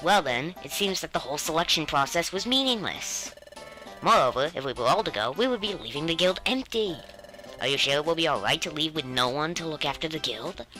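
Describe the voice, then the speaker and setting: Someone talks at a fairly quick pace in a put-on character voice of middle pitch, with clear background noise behind it. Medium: solo performance. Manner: formal, officious.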